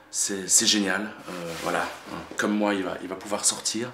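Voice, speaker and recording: A soft-spoken man with a fairly low, monotone, flat voice, amid noticeable background noise and audible room echo. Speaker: independent filmmaker. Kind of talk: casual video message to supporters. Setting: at home in apartment. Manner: halting, many fillers.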